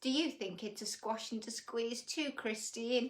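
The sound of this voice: At a fairly slow pace, a woman speaks with fairly high pitch and ordinary pitch variation.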